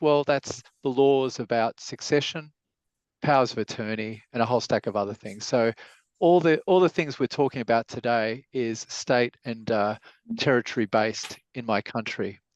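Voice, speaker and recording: A man with an Australian accent talks at a moderate pace in a medium pitch with ordinary pitch variation, in a dry, close sound with no echo and a quiet background. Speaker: lawyer, webinar speaker. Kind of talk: webinar presentation. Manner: halting, many fillers.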